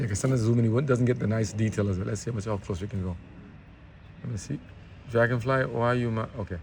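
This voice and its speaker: Mumbling and somewhat breathy, a man speaks at a fairly quick pace in a medium pitch with lively intonation. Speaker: vlogger. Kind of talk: casual walking vlog commentary. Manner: fast.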